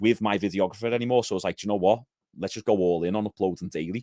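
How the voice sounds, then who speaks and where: A man talks with ordinary pitch variation in a dry, close sound that has no echo. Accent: Liverpool. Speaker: gym owner and physique coach. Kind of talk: podcast interview.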